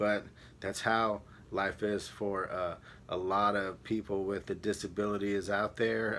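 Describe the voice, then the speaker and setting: Here is a man with a fairly low pitch and a bright, sharp tone. He talks at a very slow pace. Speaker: vlogger. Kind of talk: personal vlog monologue. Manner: halting.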